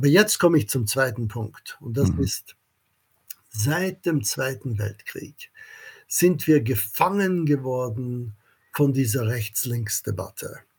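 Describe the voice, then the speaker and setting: A somewhat breathy man at a very slow pace with lively intonation. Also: medium pitch for a man. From Austria (Vienna), American family. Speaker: economics professor. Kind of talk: interview. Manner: halting, many fillers.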